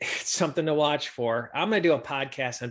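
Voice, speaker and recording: Against a quiet background, a man with an unremarkable speaking voice talks at a moderate pace with ordinary pitch variation. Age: 50s. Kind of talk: podcast monologue.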